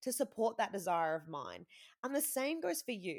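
On a very clean recording with a silent background, a woman's voice swings very widely in pitch. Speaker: money mindset coach and podcast host. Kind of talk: solo podcast monologue, motivational. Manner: fast talker, animated when excited.

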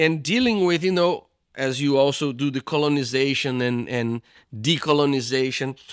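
A man with a Portuguese accent at a moderate pace, on a very clean recording with a silent background. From Brazil, São Paulo. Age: 50s. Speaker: theology professor and pastor. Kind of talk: interview.

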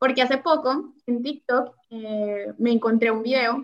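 A woman's high-pitched voice. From Colombia. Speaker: podcast host, accountant. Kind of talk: casual interview chat.

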